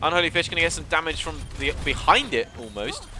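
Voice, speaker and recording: Noticeable background noise runs beneath a man's fairly quick delivery. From southern England. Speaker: esports caster. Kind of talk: live commentary. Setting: live stream. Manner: animated.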